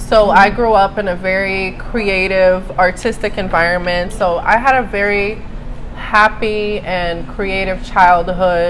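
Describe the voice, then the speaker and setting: A woman at medium pitch, fairly slow, with fairly even intonation, audible room echo and noticeable background noise. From Brazil, Rio de Janeiro. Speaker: writer and journalist. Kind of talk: interview. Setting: live event with crowd.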